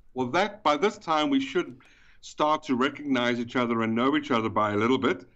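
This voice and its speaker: Lively intonation in a South African accent at a fairly quick pace. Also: man, medium pitch for a man. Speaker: event organizer. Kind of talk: casual chat. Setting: phone call.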